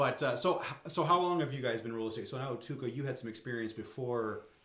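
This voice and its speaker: The voice moves at a very fast pace with ordinary pitch variation, and audible room echo can be heard. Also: man. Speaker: real estate podcast host. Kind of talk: casual interview.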